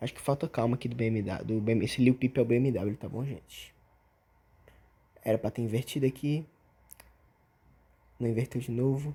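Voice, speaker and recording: A somewhat breathy voice with a dark, mellow tone speaks at a fairly quick pace, its fairly even intonation broken by long, frequent pauses. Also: man, medium pitch for a man. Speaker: gameplay tutorial streamer. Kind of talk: tutorial. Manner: fast; casual slangy.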